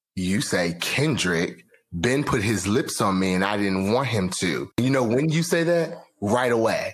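In a put-on character voice, a man speaks at medium pitch with a raspy edge, very wide pitch swings, very even loudness, a moderate pace and hardly any pauses. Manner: furious, accusing.

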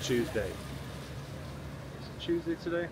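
A man is speaking, recorded dry with no echo. Background noise is noticeable. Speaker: fitness vlogger. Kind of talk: casual vlog chat. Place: street. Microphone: phone near.

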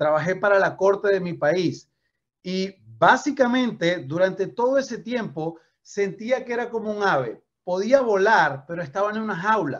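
A man with a high pitch speaks at a fairly slow pace in an animated tone with lively intonation. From Venezuela. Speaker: network marketing trainer. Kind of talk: motivational training talk. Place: home room. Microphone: video call.

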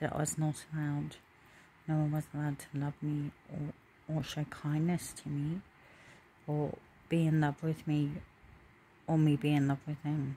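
Over light background noise, a woman with a very deep, low, dark and mellow voice speaks somewhat breathily at a moderate pace, her intonation monotone and flat, with long, frequent pauses. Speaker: vlogger. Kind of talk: casual vlog chat. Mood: personal, reflective. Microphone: phone near.

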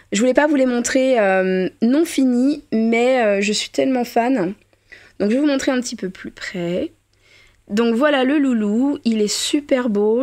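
A woman talks fairly slowly at a high pitch, with ordinary pitch variation. The recording is very clean, the background silent. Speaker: reborn doll artist and youtuber. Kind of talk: casual vlog. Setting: at home in doll nursery. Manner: hesitant, many filler sounds.

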